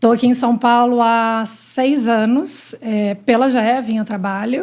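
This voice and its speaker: A woman speaks with a Minas Gerais accent at a fairly slow pace. Her pitch is fairly high and her intonation fairly even. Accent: Minas Gerais (mineiro). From Minas Gerais, Brazil. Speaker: healthcare industry executive. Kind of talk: interview.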